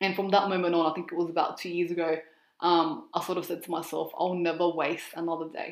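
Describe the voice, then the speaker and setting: A woman with an Australian accent speaks at a fairly quick pace in a monotone, flat way, her pitch fairly low. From Australia, Sydney. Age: 20s. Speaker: presenter and reporter. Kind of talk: interview.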